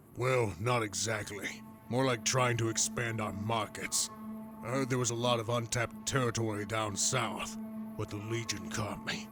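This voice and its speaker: Against clear music in the background, a man puts on a character voice, medium in pitch, at a moderate pace. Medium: video game.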